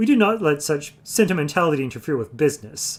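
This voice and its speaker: A man performs a put-on character voice that is nasal and fairly high in pitch, talking at a very fast pace. The recording is very clean, with a silent background. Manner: pompous, businesslike.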